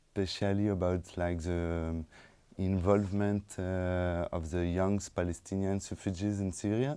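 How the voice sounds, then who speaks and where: In a French accent, a man speaks at a fairly slow pace with a very deep, low pitch, a dark, mellow tone and fairly even intonation, on a very clean recording with a silent background. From France, suburbs of Lyon. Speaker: documentary film director. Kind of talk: post-screening talk, Q&A. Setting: stage with audience after film screening. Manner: halting, many fillers and repetitions.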